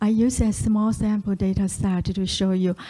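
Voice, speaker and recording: In a dark, mellow and somewhat breathy tone, a woman speaks at a medium pitch with monotone, flat intonation. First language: Chinese. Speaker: statistician. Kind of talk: lecture. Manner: halting, many fillers.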